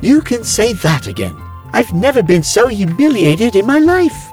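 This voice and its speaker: A man's put-on character voice at a moderate pace, with clear music in the background. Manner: fretful, prissy, complaining.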